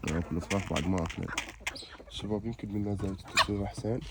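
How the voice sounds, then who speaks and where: A man with a fairly low voice speaks very fast. His intonation is fairly even, and background noise is noticeable. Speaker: chicken keeper vlogger. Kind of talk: casual vlog tutorial. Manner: casual, with fillers.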